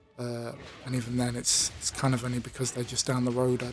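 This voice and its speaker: A man talks at a medium pitch while noticeable background noise runs behind him. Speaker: YouTuber. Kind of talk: personal monologue. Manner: monotone; halting, many fillers.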